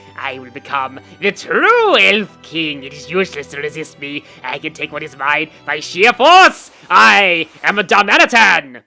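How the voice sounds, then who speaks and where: Over faint background music, a put-on character voice at a middle pitch moves at a moderate pace. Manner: silly, over-the-top, menacing.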